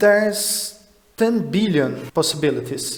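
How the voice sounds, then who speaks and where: Against noticeable background noise, a man with a Portuguese accent speaks with ordinary pitch variation. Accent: Portuguese-speaking non-native English. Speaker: math puzzle explainer. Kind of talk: educational explainer talk.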